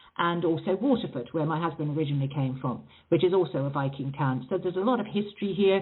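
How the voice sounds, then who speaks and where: Talking at a very fast pace with hardly any pauses, a woman with an English accent uses a fairly low pitch and lively intonation. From England, raised partly in South Africa. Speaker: author. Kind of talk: interview. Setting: phone call.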